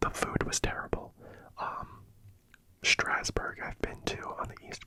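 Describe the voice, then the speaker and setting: Whispering in a relaxed tone, a woman speaks at a moderate pace with noticeable background noise. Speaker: ASMR creator. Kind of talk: ASMR soft-spoken talk to camera. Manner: soft-spoken, relaxed.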